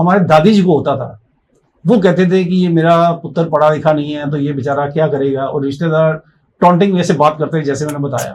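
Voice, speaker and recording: A man speaks in a plain, everyday voice. His pitch sits fairly high, with ordinary variation. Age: 60s. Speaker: life coach. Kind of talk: interview.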